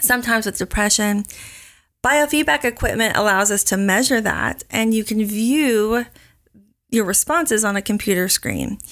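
A woman with an American accent, an unremarkable speaking voice, fairly high pitch and moderate pace. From Oklahoma. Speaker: counselor. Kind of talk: interview.

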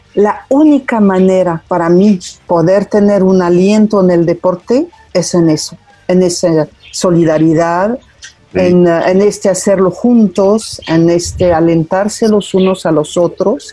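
Her loudness stays very even as a woman speaks at a fairly slow pace and a medium pitch. Pitch variation is ordinary, and there is noticeable background noise. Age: 60s. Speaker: member of the French community in Mexico. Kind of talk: interview.

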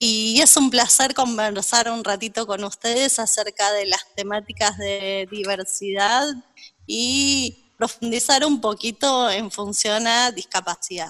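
A woman's bright, sharp tone at a very slow pace. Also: fairly high pitch for a woman, ordinary pitch variation. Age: 40s. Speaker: psychologist. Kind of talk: interview.

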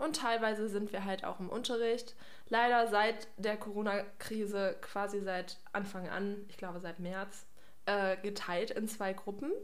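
Audible room echo is present in the recording. A woman speaks fairly slowly. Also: medium pitch for a woman, fairly even intonation. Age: 20s. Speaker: trainee geriatric nurse, podcast co-host. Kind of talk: casual chat.

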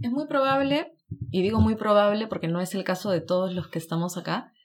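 The woman's voice sits at a medium pitch with an animated tone. She speaks at a moderate pace. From Peru. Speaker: podcast co-host, student in Japan. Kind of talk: casual chat. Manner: animated, laughs often.

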